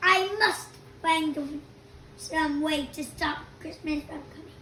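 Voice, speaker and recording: Putting on a growling character voice, a woman speaks at an extremely high pitch and fairly slow pace with fairly even intonation, against clear background noise. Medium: read story. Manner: snarling, sneering.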